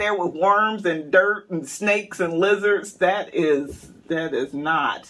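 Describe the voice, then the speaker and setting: A man's raised, projected voice, high in pitch and bright and sharp in tone, at a very slow pace with hardly any pauses. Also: ordinary pitch variation. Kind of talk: casual talk to camera, banter with co-host. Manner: playful, joking.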